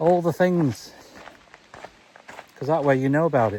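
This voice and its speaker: Over noticeable background noise, a man with an English accent speaks at a moderate pace, his fairly high voice carrying lively intonation. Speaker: vlogger. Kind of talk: walking vlog monologue. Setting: outdoors, walking. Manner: calm, not giddy like a presenter.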